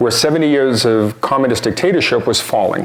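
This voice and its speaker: A man speaks at a fairly quick pace over noticeable background noise, his medium pitch moving with ordinary variation. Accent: American. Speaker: nonprofit founder and speaker. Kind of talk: public talk. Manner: hesitant with fillers.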